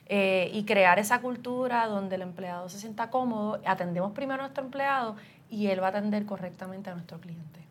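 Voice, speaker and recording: Pitch moves with ordinary variation here. There is a somewhat breathy quality to the voice. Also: woman, medium pitch for a woman, fairly quick pace. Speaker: human resources director and podcast host. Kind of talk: interview.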